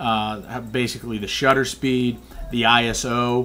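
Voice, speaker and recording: Amid noticeable background noise, a man at medium pitch talks with monotone, flat intonation. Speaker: amateur photographer. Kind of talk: casual tutorial. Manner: hesitant, many fillers.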